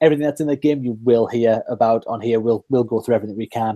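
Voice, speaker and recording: Speaking very fast with a Geordie accent, a man at medium pitch has a dark, mellow tone in a dry, close sound with no echo. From northeast England, Newcastle. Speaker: podcast host. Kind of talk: casual chat.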